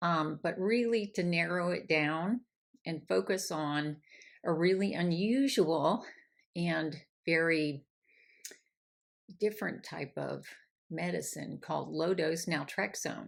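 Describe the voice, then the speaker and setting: A woman talks at a very slow pace in a fairly low voice. Her speech has long, frequent pauses. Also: ordinary pitch variation, very clean recording, silent background. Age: 60s. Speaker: menopause coach. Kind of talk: casual talk to camera. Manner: conversational with fillers.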